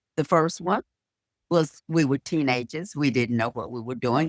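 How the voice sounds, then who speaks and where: The speaker talks in a North Carolina accent at a fairly slow pace. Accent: North Carolina Southern US. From US South. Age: 80s+. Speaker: beauty school owner. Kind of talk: interview.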